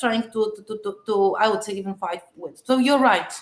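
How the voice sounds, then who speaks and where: A woman is speaking at a moderate pace. Her pitch varies in an ordinary way. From Poland. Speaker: philosophy conference speaker. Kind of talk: academic Q&A answer.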